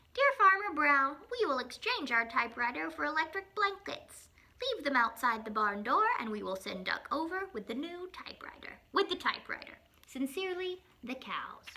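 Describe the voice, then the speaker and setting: A woman speaks in a put-on character voice at a moderate pace, her high pitch swinging very widely. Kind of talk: children's picture-book reading. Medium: read story.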